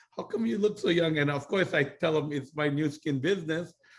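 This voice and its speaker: A man talks in a Hawaiian accent at a fairly quick pace, his voice somewhat breathy. His pitch is fairly high, with ordinary variation. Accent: Hawaiian American English. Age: 60s. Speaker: network marketing business mentor. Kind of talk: casual chat.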